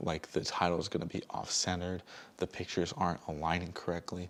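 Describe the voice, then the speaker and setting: A man with a very deep, low voice talks at a fairly quick pace. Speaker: vlogger and small business owner. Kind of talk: casual vlog talk. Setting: dark room at home. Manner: speaking low.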